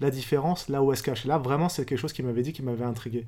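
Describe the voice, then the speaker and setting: Heard on a very clean recording against a silent background, a normal speaking voice shows ordinary pitch variation. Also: man. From France. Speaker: novelist and philosopher. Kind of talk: interview.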